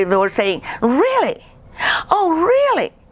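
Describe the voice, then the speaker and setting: There is noticeable background noise. A woman with a Guatemalan accent speaks at a fairly slow pace. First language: Spanish. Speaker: painter. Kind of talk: casual interview chat. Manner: halting, repeats words.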